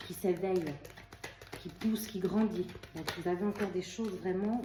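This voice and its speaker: A woman's medium-pitched voice with fairly even intonation, over noticeable background noise. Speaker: tarot card reader. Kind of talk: spiritual card reading video. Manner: hesitant, many fillers and repetitions.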